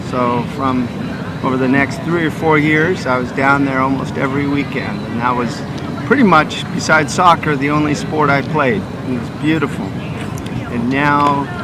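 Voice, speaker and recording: A man with an American accent at a moderate pace, amid audible room echo and noticeable background noise. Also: fairly high pitch for a man, fairly even intonation. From California, Santa Barbara. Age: 40s. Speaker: frisbee player. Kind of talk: casual interview.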